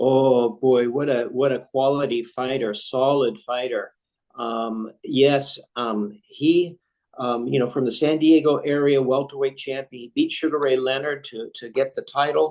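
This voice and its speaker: Speaking with an American accent in a normal speaking voice, a man keeps a medium pitch and fairly even intonation at a fairly slow pace, with big swings in loudness. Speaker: ring announcer. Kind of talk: interview answer.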